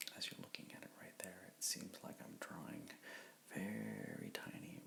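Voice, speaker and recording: A man is whispering. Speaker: comic book artist. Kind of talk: ASMR drawing tutorial, rambling narration. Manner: soft-spoken.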